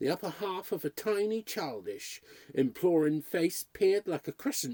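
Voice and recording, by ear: Someone is reading aloud in a natural voice here.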